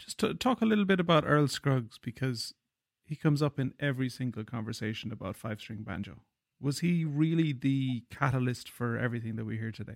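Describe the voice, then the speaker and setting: The speech comes at a fairly quick pace in an Irish accent, with lively intonation. The sound is dry and close, with no echo. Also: man, medium pitch for a man. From Ireland. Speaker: podcast host and banjo player. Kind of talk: interview.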